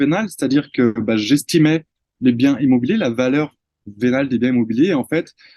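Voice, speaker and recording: A man's dark, mellow voice with lively intonation, dry and close with no echo. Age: 30s. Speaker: real estate investor and trainer. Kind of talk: interview.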